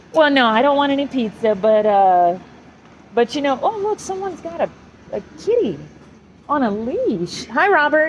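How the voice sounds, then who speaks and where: With noticeable background noise behind her, a woman with a high pitch speaks at a moderate pace, using very wide pitch swings and long, frequent pauses. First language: German. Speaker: vlogger. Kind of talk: casual chat. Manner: halting.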